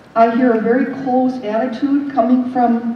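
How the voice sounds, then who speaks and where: At a moderate pace, a woman speaks in a high pitch, with noticeable background noise and audible room echo. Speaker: artist and local resident. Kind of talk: public meeting comment. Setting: community meeting in a theatre.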